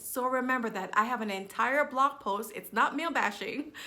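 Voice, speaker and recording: The woman's fairly high voice has a bright, sharp tone and ordinary pitch variation. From Jamaica. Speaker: business and confidence coach. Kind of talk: motivational talk to camera.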